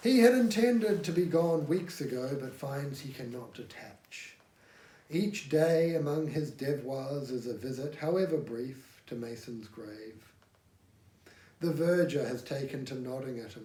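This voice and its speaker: At a fairly slow pace, a man talks in a somewhat breathy, fairly high voice with lively intonation and big swings in loudness. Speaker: amateur audiobook reader. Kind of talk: audiobook reading.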